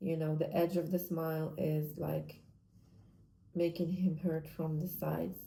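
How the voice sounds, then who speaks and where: Somewhat breathy, a woman with a non-native accent speaks in a very deep, low pitch with a dark, mellow tone. Her intonation is fairly even, her pace fairly slow, with long, frequent pauses. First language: not English. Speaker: vlogger, amateur artist. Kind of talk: casual monologue vlog. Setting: at home. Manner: halting, self-correcting.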